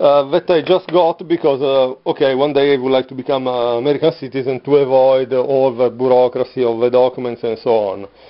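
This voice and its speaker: Speaking with an Italian accent, a man keeps a fairly quick pace with hardly any pauses, at a medium pitch and fairly even intonation. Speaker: vlogger. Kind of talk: casual video monologue. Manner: halting, many fillers.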